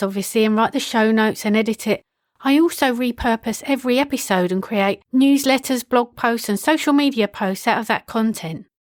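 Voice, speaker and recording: A woman talks at a fairly quick pace with a fairly high pitch and lively intonation. The sound is dry and close with no echo, in a very clean recording with a silent background. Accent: British. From UK. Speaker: podcast consultant. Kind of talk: solo podcast monologue. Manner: casual, conversational.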